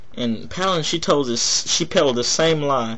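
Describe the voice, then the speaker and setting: A man speaks at a moderate pace with an American accent. His pitch varies in an ordinary way, and the room echo is audible. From Texas. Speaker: political video blogger. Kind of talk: political commentary monologue.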